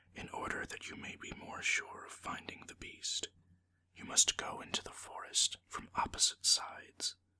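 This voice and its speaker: The speaker whispers at a fairly slow pace. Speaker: ASMR storyteller. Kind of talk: whispered storytelling reading of a folktale. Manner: whispered, soft.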